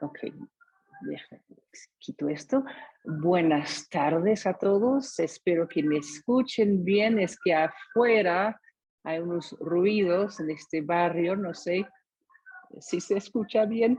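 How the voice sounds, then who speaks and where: A woman with a medium pitch speaks at a very slow pace, leaving long, frequent pauses. Her pitch varies in an ordinary way. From US, San Diego, California. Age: 60s. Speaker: testimony speaker. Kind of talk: testimony. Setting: video call. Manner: halting.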